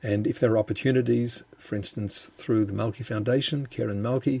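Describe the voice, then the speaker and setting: A man with an Australian accent, medium pitch, ordinary pitch variation and a somewhat breathy, dark, mellow tone at a fairly quick pace. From Australia, Melbourne. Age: 70s. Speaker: bereaved father and justice campaigner. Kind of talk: podcast interview. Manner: halting, repeats words.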